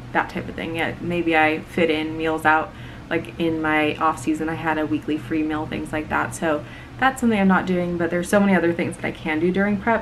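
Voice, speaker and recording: A soft-spoken woman with a very deep, low pitch and ordinary pitch variation, over noticeable background noise. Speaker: bodybuilding coach and competitor. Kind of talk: casual chat.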